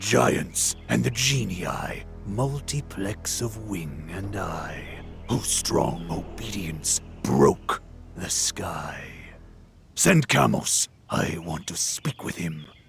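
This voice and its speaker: Whispering in a put-on character voice at a very slow pace, a man is heard over clear music in the background. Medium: machinima. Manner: cold, menacing.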